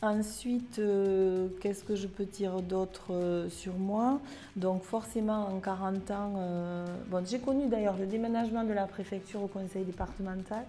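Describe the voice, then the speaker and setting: A woman speaks at a fairly slow pace with medium pitch and fairly even intonation, hardly pausing, as music plays in the background. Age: 60s. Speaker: civil servant, recruitment officer. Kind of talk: interview testimony. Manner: hesitant with frequent fillers.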